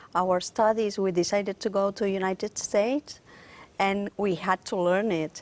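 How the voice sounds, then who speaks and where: A woman with a Catalan accent speaks at a moderate pace in a medium pitch with fairly even intonation. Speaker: concert pianist. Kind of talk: interview.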